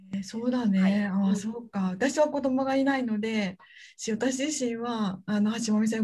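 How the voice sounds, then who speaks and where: Somewhat breathy, the woman's voice has a dark, mellow tone. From Hyogo, Japan (Kansai). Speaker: university researcher and podcast anchor. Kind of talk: casual interview chat. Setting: video call.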